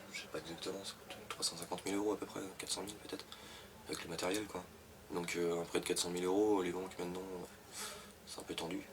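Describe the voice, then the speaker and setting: Against noticeable background noise, a man with a very deep, low pitch talks at a very fast pace in a monotone, flat intonation, with long, frequent pauses. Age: 20s. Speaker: fisherman. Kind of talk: interview. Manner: hesitant, many fillers.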